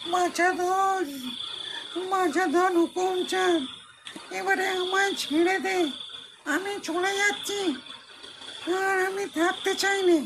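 A put-on character voice, extremely high in pitch, speaks very slowly over clear background noise. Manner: pleading.

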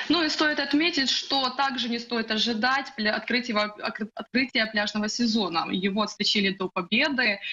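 A woman speaks at a moderate pace in a fairly high voice with ordinary pitch variation, a plain, everyday voice. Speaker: news correspondent. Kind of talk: live news report. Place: home room. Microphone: video call.

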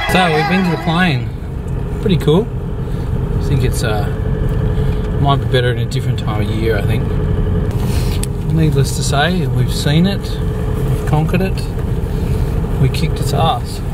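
The man talks at a moderate speed, leaving long, frequent pauses, with loud noise behind him and a dry, echo-free sound. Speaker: travel vlogger. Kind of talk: casual vlog chat. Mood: relaxed, joking. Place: car. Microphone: phone near.

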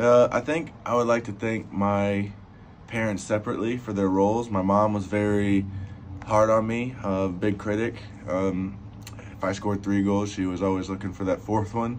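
Over light background noise, a man speaks with a fairly low pitch. His intonation is monotone and flat. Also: moderate pace. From Alabama. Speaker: professional soccer player. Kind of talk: interview answers. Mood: calm, reflective. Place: home room. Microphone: phone near.

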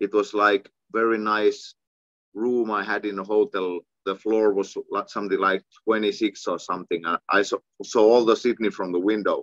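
Over a quiet background, a man with a Finnish accent speaks at a moderate pace in a fairly low, monotone voice, the sound dry with no echo. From Finland. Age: 40s. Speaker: kickboxing champion and coach. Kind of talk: casual interview. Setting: video call. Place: home room. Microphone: video call.

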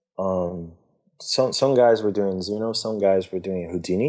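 In a quiet setting, a man with a Brazilian accent speaks at a moderate pace in a dark, mellow tone, his pitch fairly low and his intonation fairly even. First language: Portuguese. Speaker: visual effects artist. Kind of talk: casual interview. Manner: talkative.

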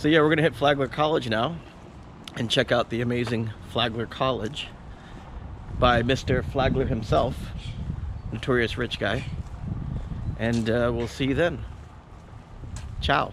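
A man talks with long, frequent pauses. The sound is dry with no echo, though background noise is noticeable. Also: ordinary pitch variation, moderate pace. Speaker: travel vlogger. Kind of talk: casual vlog chat. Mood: joking, relaxed. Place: street. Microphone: phone near.

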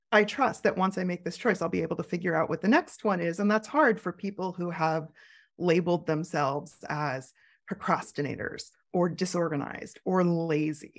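Over a silent background in a very clean recording, a woman with a fairly low pitch talks at a moderate pace with ordinary pitch variation. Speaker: curator and creative coach. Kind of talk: interview conversation. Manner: talkative, thinks out loud.

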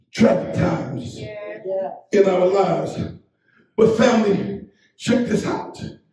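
Man's voice with audible room echo. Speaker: pastor, Baptist church bishop. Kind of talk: funeral eulogy sermon. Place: church.

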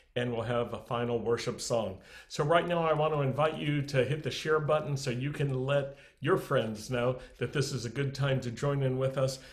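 Over a quiet background, a man speaks with fairly even intonation. His voice is somewhat breathy. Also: moderate pace. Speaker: congregation leader hosting online service. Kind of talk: welcome announcements. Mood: warm, smiling. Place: home room. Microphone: webcam.

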